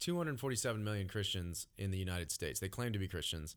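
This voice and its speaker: An ordinary speaking voice: a man with fairly low pitch and lively intonation at a moderate pace, in a very clean recording with a silent background. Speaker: worship pastor, podcast host. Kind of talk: podcast hosting, casual chat. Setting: studio.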